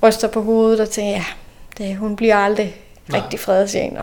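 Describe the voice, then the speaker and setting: Noticeable background noise sits under a woman speaking at a fairly high pitch with monotone, flat intonation. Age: 30s. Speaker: local politician. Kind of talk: interview. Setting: in person, same room.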